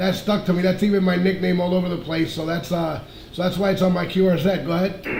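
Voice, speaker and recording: In a room with audible echo and noticeable background noise, a man talks at a fairly quick pace in a high pitch. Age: 50s. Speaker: ham radio operator. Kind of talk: amateur radio contact. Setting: radio transmission.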